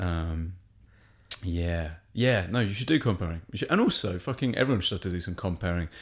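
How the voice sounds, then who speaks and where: In a very clean recording with a silent background, a man speaks with an English accent. His very deep, low voice moves at a fairly quick pace with ordinary pitch variation. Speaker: stand-up comedian. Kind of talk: casual chat. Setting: studio.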